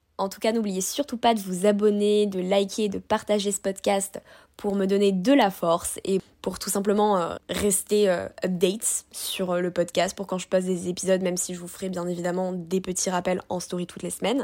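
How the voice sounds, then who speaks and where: Her voice sits at a medium pitch with a dark, mellow tone. The woman keeps a moderate pace with hardly any pauses. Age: 20s. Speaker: podcast host and food content creator. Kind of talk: solo podcast monologue. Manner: animated.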